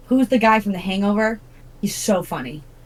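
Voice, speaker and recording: Against noticeable background noise, a woman with a medium-pitched voice sounds animated. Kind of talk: casual chat. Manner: loud.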